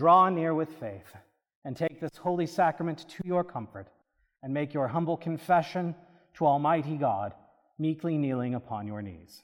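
A man speaks in an ordinary speaking voice, fairly high-pitched for a man, with lively intonation at a moderate pace on a very clean recording with a silent background. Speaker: priest celebrant and preacher. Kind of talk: Anglican liturgy and sermon, prayers read aloud. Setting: church. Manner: solemn, reverent, fervent intercessory prayer in a measured liturgical cadence.

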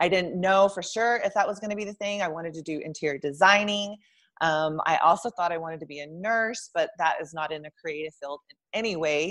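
With an American accent, a woman talks at a fairly quick pace in an ordinary speaking voice, fairly low in pitch with ordinary pitch variation and big swings in loudness, over a quiet background. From Texas (Lubbock). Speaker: photographer. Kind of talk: casual interview.

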